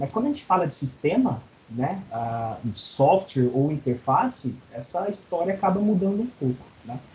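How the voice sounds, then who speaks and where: At a moderate pace, a man speaks with very wide pitch swings over noticeable background noise. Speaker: college lecturer. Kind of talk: online lecture. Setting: video call class.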